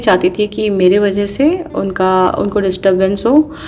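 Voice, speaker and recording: Medium-pitched female speech set against background music. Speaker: housewife vlogger. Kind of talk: voice-over vlog narration. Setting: home, voice-over recorded quietly. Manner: casual, conversational.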